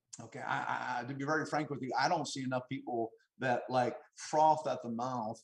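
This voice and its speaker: His voice is somewhat breathy. The man's pitch is medium. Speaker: financial services business leader. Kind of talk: motivational talk. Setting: video call. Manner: fast; halting, many repetitions.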